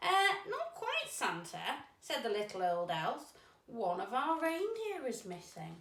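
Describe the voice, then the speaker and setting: Putting on a character voice, a woman speaks high and fairly slowly with very wide pitch swings and a slight echo. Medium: read story. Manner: hesitant, anxious.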